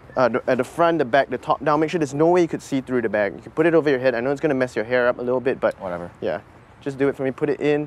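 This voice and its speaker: Talking at a very fast pace, a man shows ordinary pitch variation in a dry sound with no echo. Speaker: magician host. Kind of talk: casual instructions during a magic trick. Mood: playful, joking. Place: street.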